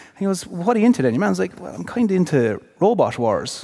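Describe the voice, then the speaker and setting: Over noticeable background noise, a man with an Irish accent talks at a very fast pace in a high voice with very wide pitch swings. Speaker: former hurler, podcast co-host. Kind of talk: live podcast chat, storytelling. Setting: theatre stage with audience.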